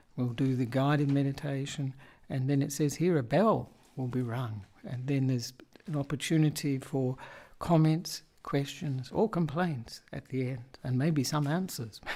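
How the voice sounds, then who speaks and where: At a fairly slow pace, a man speaks in a dark, mellow tone with a fairly high pitch, ordinary pitch variation and a somewhat breathy voice. The recording is very clean, with a silent background. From Australia. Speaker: Buddhist monk and meditation teacher. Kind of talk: casual talk introducing the session.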